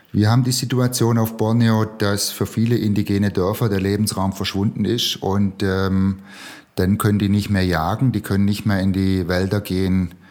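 Speaking with very even loudness, a man uses a fairly low pitch and a monotone, flat intonation. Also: moderate pace. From Swabia, Remstal (Baden-Württemberg, Germany). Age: 50s. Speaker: social entrepreneur. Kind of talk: interview.

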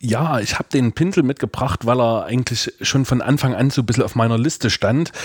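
A man speaks fairly quickly at a medium pitch in an ordinary speaking voice, with ordinary pitch variation. The sound is dry and close, with no echo. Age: 30s. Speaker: church youth worker. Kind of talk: casual chat.

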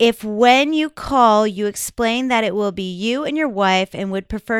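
A woman with an ordinary speaking voice talks at a moderate pace with lively intonation, dry and close with no echo on a very clean recording with a silent background. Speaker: podcast host, adult film performer. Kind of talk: casual banter chat.

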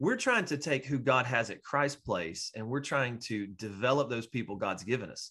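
A man with an unremarkable speaking voice talks at a moderate pace and medium pitch, using ordinary pitch variation. He takes hardly any pauses, and the background is quiet. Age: 40s. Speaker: pastor. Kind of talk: casual interview.

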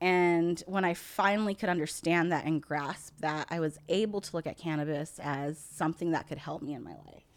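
With an American accent and a plain, everyday voice, a woman speaks at a fairly low pitch. Her intonation is fairly even and her pace is moderate. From United States, Indian family. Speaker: cannabis podcast co-host, test lab worker. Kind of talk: casual chat. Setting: studio room, smoking.

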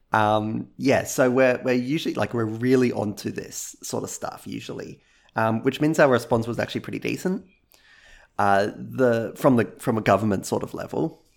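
A man with an Australian accent speaks at a moderate pace and a medium pitch. The recording is very clean, with a silent background. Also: ordinary pitch variation. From Australia, Gold Coast, Queensland. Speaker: video game music YouTuber. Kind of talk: casual interview.

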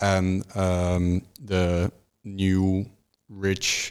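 A man with a Dutch accent, his very deep, low pitch held in a monotone, flat intonation. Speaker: history student. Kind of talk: casual chat. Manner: hesitant, many ums.

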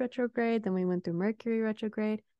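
Against a quiet background, a woman with a plain, everyday voice speaks at a medium pitch with fairly even intonation, the sound dry and close with no echo. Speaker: meditation guide and Reiki practitioner. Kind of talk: guided meditation with Reiki.

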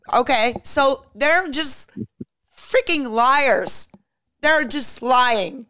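In a Czech accent, a woman uses a raised, projected voice with a high pitch, a bright, sharp tone and ordinary pitch variation, speaking at a very slow pace with long, frequent pauses. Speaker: podcast co-host. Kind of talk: casual talk show chat.

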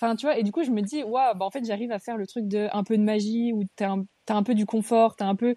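A woman's fairly high, dark and mellow voice at a very fast pace. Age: 20s. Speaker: online clothing shop owner. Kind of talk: casual chat. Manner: animated.

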